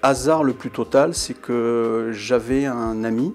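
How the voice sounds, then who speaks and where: The man's intonation stays fairly even. Noticeable background noise is present. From southern France, Montpellier region. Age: 60s. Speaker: journalist. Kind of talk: interview testimony about career. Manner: hesitant, many filler sounds.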